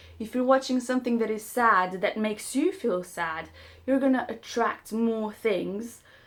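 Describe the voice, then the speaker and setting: With a non-native accent, a woman talks at a moderate pace in a fairly high pitch. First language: not English. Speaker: self-help vlogger. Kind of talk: casual monologue to camera. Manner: halting.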